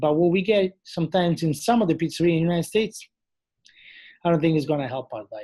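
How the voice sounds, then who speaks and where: Speaking at a very fast pace with an Italian accent, a man uses a high pitch, a dark, mellow tone and ordinary pitch variation. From Italy. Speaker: chef and TV culinary judge. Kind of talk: interview. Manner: animated.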